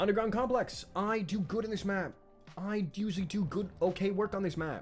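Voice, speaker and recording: Over music in the background, a man with a high pitch speaks at a fairly quick pace. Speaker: gaming streamer. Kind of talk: live gameplay stream chat. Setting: live stream. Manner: loud; animated, expressive.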